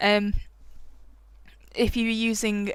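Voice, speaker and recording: A woman's fairly slow mumbling on a very clean recording with a silent background. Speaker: digital art tutorial creator. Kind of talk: tutorial. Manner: casual, hesitant with many fillers.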